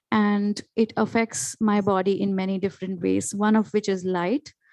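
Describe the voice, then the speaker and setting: Against a quiet background, a woman with an Indian accent speaks at medium pitch in a dark, mellow tone with fairly even intonation. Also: dry, close sound with no echo. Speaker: panelist, educator. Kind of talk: panel discussion.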